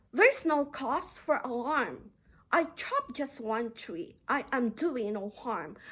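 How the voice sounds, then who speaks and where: A woman's nasal, put-on character voice at a fairly slow pace. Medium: read story.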